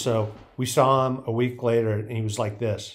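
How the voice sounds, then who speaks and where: A man speaks at a fairly slow pace with fairly even intonation over a quiet background. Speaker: former BMX rider commentator. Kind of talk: commentary storytelling. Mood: amused, laughing. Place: home room.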